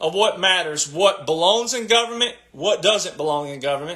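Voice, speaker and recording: Raising and projecting his voice, a man speaks with a passionate tone at a high pitch. His pitch swings very widely. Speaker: political commentator livestreamer. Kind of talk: livestream monologue. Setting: live stream. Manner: loud and passionate.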